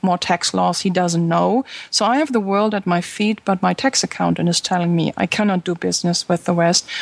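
A woman speaks at a fairly quick pace with a fairly low pitch and ordinary pitch variation. Her loudness stays very even in a dry, close sound with no echo. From Germany. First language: German. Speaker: social media consultant and podcaster. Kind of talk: interview conversation.

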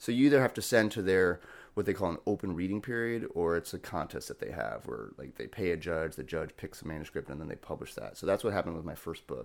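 On a very clean recording with a silent background, a man with an American accent, a very deep, low pitch and vocal fry talks at a very fast pace with lively intonation and hardly any pauses. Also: big swings in loudness. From US Midwest, Cleveland, Ohio. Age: 40s. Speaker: poet. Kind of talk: casual chat.

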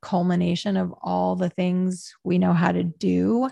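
A woman speaks with an American accent, the sound dry and close with no echo over a quiet background. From rural Pennsylvania. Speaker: author and podcast host. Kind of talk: interview conversation.

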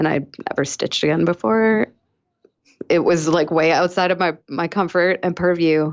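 In an American accent, a woman with an unremarkable speaking voice talks at a moderate pace, her fairly low pitch showing ordinary variation over a quiet background. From Massachusetts, South Shore (Weymouth). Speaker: fiber artist and activist. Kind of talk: casual interview.

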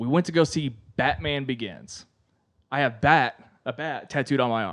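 A man's medium-pitched voice with vocal fry and lively intonation, at a moderate pace against a quiet background. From Kentucky. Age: 20s. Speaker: podcast host and musician. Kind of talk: casual chat.

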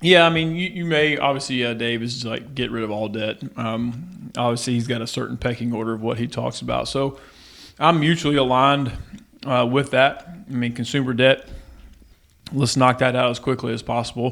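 At a moderate pace, a man talks in an ordinary speaking voice with a medium pitch and ordinary pitch variation. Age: 40s. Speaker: financial coach and former pro baseball player. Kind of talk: casual interview.

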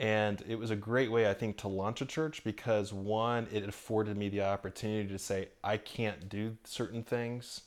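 A man with an American accent uses an ordinary speaking voice, fairly low in pitch, at a moderate pace with hardly any pauses and fairly even intonation. The recording is very clean, with a silent background. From Orlando, Florida. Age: 40s. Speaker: pastor. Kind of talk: casual interview. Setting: at home.

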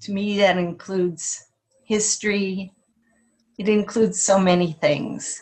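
A woman with a medium-pitched, somewhat breathy voice talks at a fairly slow pace. Her intonation stays fairly even, broken by long, frequent pauses. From Alaska, Kenai. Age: 60s. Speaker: retired local resident, artist. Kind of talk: casual chat.

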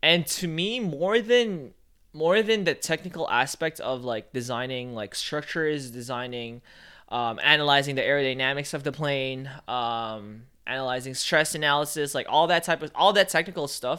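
On a very clean recording with a silent background, the voice has a bright, sharp tone, lively intonation and a moderate pace. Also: man, fairly high pitch for a man. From Philippines. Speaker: photographer and videographer. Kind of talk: casual chat.

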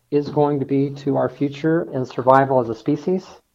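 A man speaks with a General American accent. His pitch is fairly high. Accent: General American (Colorado). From Denver, Colorado. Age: 60s. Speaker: engineer and hyperloop research leader. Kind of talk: interview.

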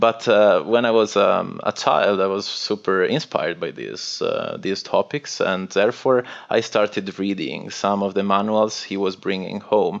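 A man talks in an Italian accent. He leaves hardly any pauses. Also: moderate pace. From northwest Italy. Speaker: cybersecurity consultant. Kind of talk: interview.

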